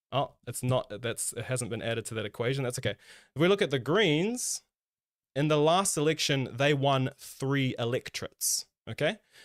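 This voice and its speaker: A man with a New Zealand accent, medium pitch and lively intonation, at a moderate pace, in a dry, close sound with no echo and a very clean recording over a silent background. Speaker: political stream co-host. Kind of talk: casual political discussion. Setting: live stream.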